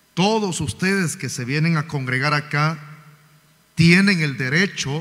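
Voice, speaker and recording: A man speaks in a bright, sharp tone. His pitch variation is ordinary. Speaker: pastor. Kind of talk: sermon. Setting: church. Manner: loud. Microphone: sound too quiet from pulpit.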